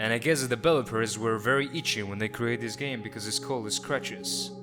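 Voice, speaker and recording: A man with a non-native accent, medium pitch and a fairly quick pace, music in the background. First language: not English. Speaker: gamer, let's player. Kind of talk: let's play commentary. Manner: joking, sarcastic.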